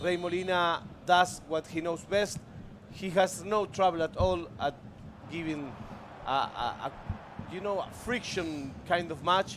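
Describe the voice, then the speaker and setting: A man with a high pitch speaks at a fairly slow pace with a Spanish accent. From Argentina. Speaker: esports commentator. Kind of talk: live commentary.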